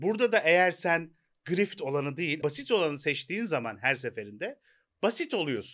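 On a very clean recording with a silent background, a man with a high pitch makes very wide pitch swings. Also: moderate pace. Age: 40s. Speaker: podcast co-host. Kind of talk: casual chat. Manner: hesitant with fillers.

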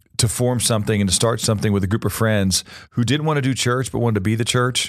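This man talks very fast in an American accent at a medium pitch. His intonation stays fairly even. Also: quiet background. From Missouri. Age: 50s. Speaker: pastor. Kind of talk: interview.

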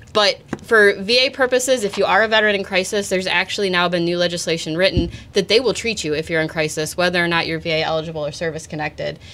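Someone with an American accent talks at a very fast pace with ordinary pitch variation over noticeable background noise. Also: woman. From Michigan, Redford. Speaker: Air Force veteran and veterans advocate. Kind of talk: interview, advocacy.

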